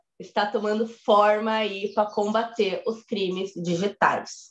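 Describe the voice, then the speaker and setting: A woman speaks at a very slow pace. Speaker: lawyer giving a talk. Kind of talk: online presentation with slides. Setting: online live event.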